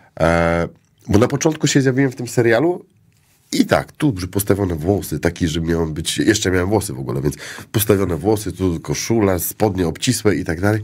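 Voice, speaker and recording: Against a quiet background, a man with an ordinary speaking voice talks fairly quickly in a fairly low voice with lively intonation. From Poland, Szczecin; Poland. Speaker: actor. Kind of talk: casual chat. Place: studio. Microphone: studio mic.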